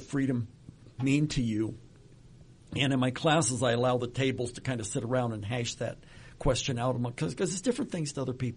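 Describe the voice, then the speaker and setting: Against a quiet background, a man's somewhat breathy voice sits at a medium pitch with ordinary pitch variation. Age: 70s. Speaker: retirement planning expert. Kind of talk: casual interview. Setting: studio.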